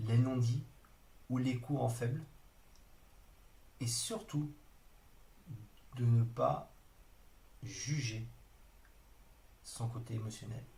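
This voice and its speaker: A man's medium-pitched, somewhat breathy voice with a dark, mellow tone, at a very slow pace with long, frequent pauses, amid audible room echo. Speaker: trainer. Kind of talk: online training lecture. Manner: hesitant, many fillers.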